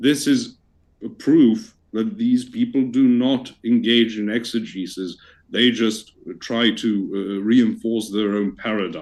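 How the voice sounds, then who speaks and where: This man speaks with a Received Pronunciation accent at a medium pitch. His pace is fairly slow and his intonation fairly even. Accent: received pronunciation, sounds near-native. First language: not English. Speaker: debater. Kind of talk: debate. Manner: formal.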